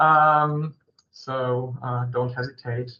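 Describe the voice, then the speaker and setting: A man talks with a non-native accent. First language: German. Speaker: company executive presenting a webinar. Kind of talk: webinar presentation. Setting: online video meeting. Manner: halting, many fillers.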